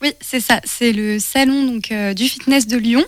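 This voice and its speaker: Her voice is high in pitch, and this woman keeps her intonation fairly even. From France, Le Mans. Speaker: communication and events apprentice. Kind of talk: casual interview. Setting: radio studio.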